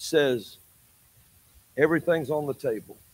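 Here a man talks with an Alabama accent at a fairly high pitch. His pace is moderate and his intonation lively. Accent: Southern US (Alabama). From US South, Alabama. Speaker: prophet preacher. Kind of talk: sermon. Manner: animated.

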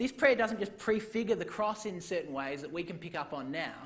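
A man's voice with audible room echo. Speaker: preacher. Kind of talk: sermon.

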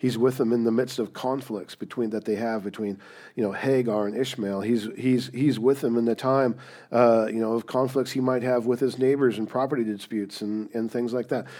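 A man speaks in an unremarkable speaking voice, medium in pitch and fairly quick. His intonation stays fairly even over a very clean recording with a silent background. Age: 50s. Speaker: pastor. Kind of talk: sermon.

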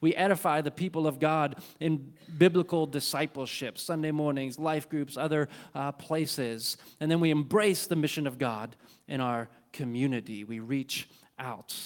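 Talking at a moderate pace, a man has a fairly high pitch with ordinary variation. The recording is very clean, with a silent background. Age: 40s. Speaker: pastor. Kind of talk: sermon. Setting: church. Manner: halting.

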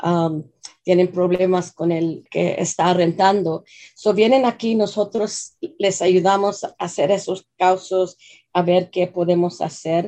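A woman's medium-pitched voice with a non-native accent, dark and mellow in tone, with fairly even intonation and a very slow pace. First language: English (speaking Spanish). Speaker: nonprofit executive director. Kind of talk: radio interview. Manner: halting.

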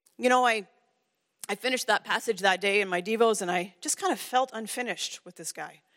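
Quick-paced and fairly high in pitch, a woman with a Canadian accent talks in an unremarkable speaking voice with ordinary pitch variation, the sound dry and close with no echo. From Ontario, Canada. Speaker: women's ministry director, guest speaker. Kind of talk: sermon. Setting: church.

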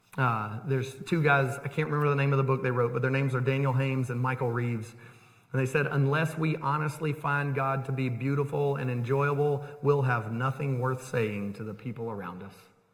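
A man speaks at a medium pitch and a fairly quick pace, his intonation fairly even, with noticeable background noise behind him. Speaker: pastor. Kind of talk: sermon. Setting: church. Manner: loud.

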